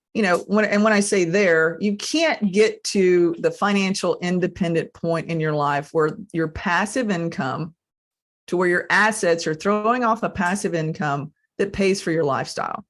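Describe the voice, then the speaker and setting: A woman with a normal speaking voice talks at a moderate pace, her medium pitch showing ordinary pitch variation. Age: 50s. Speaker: podcast host. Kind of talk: podcast interview.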